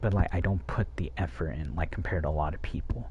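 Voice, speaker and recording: A man whispers quietly at a fairly quick pace. The audio has audible room echo and noticeable background noise. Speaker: streamer. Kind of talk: casual monologue to chat. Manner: whispering, quiet.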